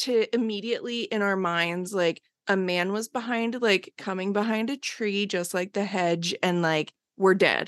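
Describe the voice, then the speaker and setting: With an American accent and an unremarkable speaking voice, a woman speaks at medium pitch with ordinary pitch variation. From US Northeast, Bucks County near Philadelphia. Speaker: comedian and horror filmmaker. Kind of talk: casual chat.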